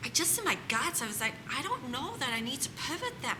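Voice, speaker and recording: Over noticeable background noise, a woman with a fairly high pitch talks at a moderate pace. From South Africa. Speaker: home staging business owner. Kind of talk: interview answer.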